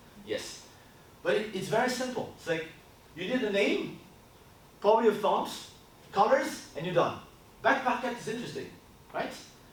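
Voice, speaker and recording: A man talks loudly at a high pitch with lively intonation and long, frequent pauses. Audible room echo and noticeable background noise are present. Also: moderate pace. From France. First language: French. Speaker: brand consultancy co-founder. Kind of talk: workshop presentation. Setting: stage with audience. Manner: casual.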